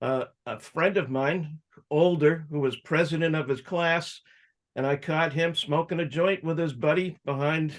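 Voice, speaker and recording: An unremarkable speaking voice with an American accent moves at a moderate pace with fairly even intonation against a quiet background. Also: man, fairly high pitch for a man. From Massachusetts, suburban Boston. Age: 60s. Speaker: cannabis activist and entrepreneur. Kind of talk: interview life story.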